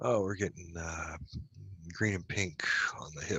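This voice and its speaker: A man mumbles his words. He talks at a fairly slow pace. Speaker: hypnosis session client. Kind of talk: answers under hypnosis session. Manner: mumbling.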